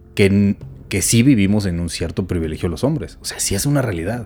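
At a moderate pace, a man with an ordinary speaking voice and fairly low pitch talks with lively intonation. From Mexico, Chihuahua. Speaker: podcast co-host. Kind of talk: casual chat.

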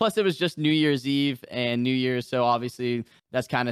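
Speaking in a normal speaking voice with an American accent, a man keeps a medium pitch, ordinary pitch variation and a moderate pace on a very clean recording with a silent background. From New Hampshire, US. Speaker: gaming streamer. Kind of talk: casual chat.

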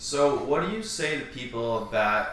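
A man talks at a very slow pace with noticeable background noise behind him. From western Vermont. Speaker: podcast host. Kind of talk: casual chat.

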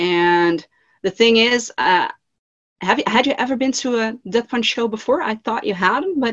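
In a Dutch accent, a woman speaks at a moderate pace and a fairly high pitch with lively intonation, the sound dry and close with no echo. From Netherlands. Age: 40s. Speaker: band fan community creator. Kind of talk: casual interview chat.

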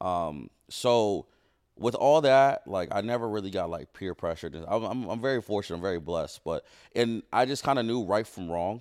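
At a moderate pace, a man with an American accent uses a normal speaking voice. His fairly low voice has lively intonation. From Ohio. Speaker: streamer. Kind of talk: casual chat. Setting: studio.

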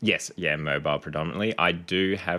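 This man has a bright, sharp tone and talks at a moderate pace. The recording is very clean, with a silent background. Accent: Australian. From Canberra, Australia. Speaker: physiotherapist. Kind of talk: interview conversation.

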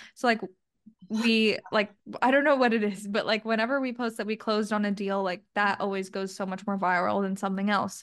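Here is a normal speaking voice, a woman at a medium pitch and a fairly quick pace. Her intonation is fairly even, and the background is quiet. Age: 20s. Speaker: real estate investment firm marketing director. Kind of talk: casual interview.

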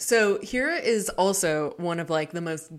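Recorded very cleanly with a silent background, a woman with an unremarkable speaking voice talks at a fairly low pitch with ordinary pitch variation. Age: 20s. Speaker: librarian and book podcast co-host. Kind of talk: casual chat.

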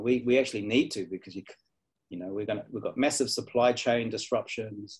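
A man's somewhat breathy, medium-pitched voice at a fairly quick pace, with ordinary pitch variation and big swings in loudness. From New Zealand. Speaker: university design academic. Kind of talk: interview conversation.

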